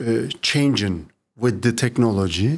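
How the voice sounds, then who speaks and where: The speaker is a man with a Turkish accent. He talks at a very slow pace. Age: 50s. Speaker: municipal IT executive. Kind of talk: interview. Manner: halting.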